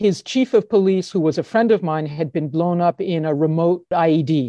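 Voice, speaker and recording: Her voice is fairly low with a dark, mellow tone, set against a quiet background with a dry, close sound and no echo. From United States. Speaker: anti-corruption expert and author. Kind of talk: interview.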